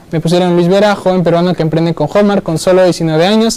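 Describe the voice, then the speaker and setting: A man talks in a high voice with ordinary pitch variation. Noticeable background noise runs underneath. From Peru, Lima (born in Iquitos). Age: 20s. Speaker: digital marketer and business coach. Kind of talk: live conference talk. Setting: stage with live audience. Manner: animated; halting, many fillers.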